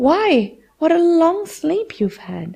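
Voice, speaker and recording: A woman's put-on, squeaky character voice, extremely high in pitch, with very wide pitch swings. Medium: read story. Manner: soft, affectionate.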